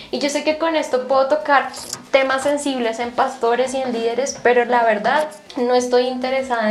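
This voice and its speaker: A woman's high-pitched voice at a moderate pace with fairly even intonation, audible room echo and noticeable background noise. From Colombia, Bogotá. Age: 20s. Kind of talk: radio interview testimony.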